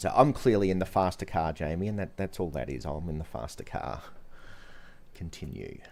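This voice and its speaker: Vocal fry marks this man's very deep, low voice as he talks at a fairly quick pace with lively intonation. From Australia. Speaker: gaming streamer. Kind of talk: live gameplay stream chat. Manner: animated, excited; repetitive, stammering restarts.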